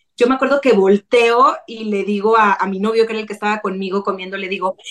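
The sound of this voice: A woman speaks at a fast pace with a raspy, fairly bright tone. Her intonation stays fairly even. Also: medium pitch for a woman.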